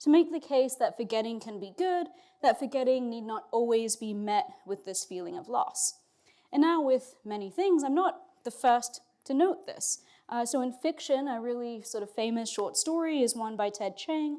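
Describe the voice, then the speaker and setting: With a dark, mellow tone and a high pitch, a woman talks at a moderate pace, her pitch swinging very widely and her loudness rising and falling sharply. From Australia and England. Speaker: philosophy professor. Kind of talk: lecture. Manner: casual, with fillers.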